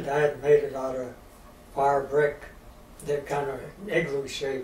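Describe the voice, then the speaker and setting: In a Midwestern US accent, a man with a fairly high pitch talks at a fairly slow pace in a monotone, flat intonation. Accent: rural Midwestern American. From rural Missouri. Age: 80s+. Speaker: storyteller of Depression-era rural life. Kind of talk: interview answer.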